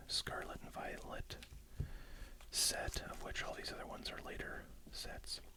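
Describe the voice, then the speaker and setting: A whisper proceeds at a fairly slow pace amid noticeable background noise. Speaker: ASMR YouTuber. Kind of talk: ASMR unboxing video. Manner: soft-spoken; casual and rambling.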